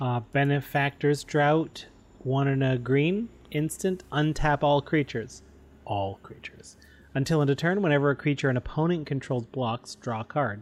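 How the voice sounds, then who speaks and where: A man with a Canadian accent speaks at a moderate pace in an unremarkable speaking voice. His pitch is fairly high, with ordinary variation. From Canada. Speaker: podcast co-host. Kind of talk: casual chat.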